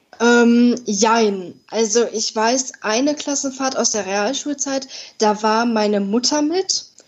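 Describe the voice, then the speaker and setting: A woman with a fairly high pitch talks over noticeable background noise. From Ruhr area, Germany (Dortmund). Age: 20s. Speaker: podcast guest with congenital heart defect. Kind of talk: interview.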